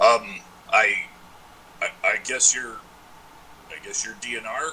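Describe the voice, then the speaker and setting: Clear background noise sits behind a man doing a raspy, put-on character voice. He talks at a fairly slow pace. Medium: actual play. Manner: hesitant, stammering.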